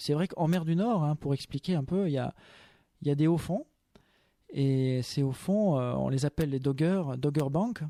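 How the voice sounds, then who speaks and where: A man speaks at a moderate pace with long, frequent pauses, his fairly high pitch showing ordinary variation and a dark, mellow tone. The sound is dry and close with no echo, in a very clean recording with a silent background. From France, Chambéry and Loiret. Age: young. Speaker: author and English teacher. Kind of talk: radio interview.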